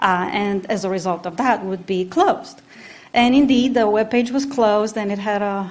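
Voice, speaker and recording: With a Romanian accent, a woman speaks at a fairly high pitch with ordinary pitch variation, and room echo is audible. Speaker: professor. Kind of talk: conference talk. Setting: conference with audience. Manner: hesitant, many fillers.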